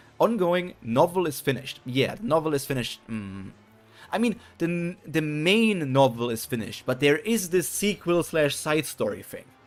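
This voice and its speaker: A man speaks with a slight German accent. His tone is animated, with very wide pitch swings. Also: moderate pace. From Germany. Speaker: streamer. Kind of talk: live reaction stream.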